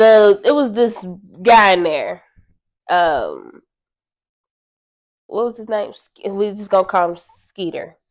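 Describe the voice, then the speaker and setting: Speaking very slowly with long, frequent pauses, a woman with an American accent uses a medium pitch, ordinary pitch variation and big swings in loudness. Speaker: comedy couple vlogger. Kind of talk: casual storytelling chat. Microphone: new mic setup, sound a little distorted.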